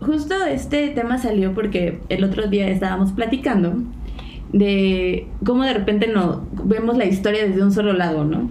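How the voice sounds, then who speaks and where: With a Mexican accent, a woman speaks at a moderate pace in a medium pitch, her pitch varying in an ordinary way and her loudness very even. Room echo is audible, and background noise is noticeable. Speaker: podcast co-host. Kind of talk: casual chat.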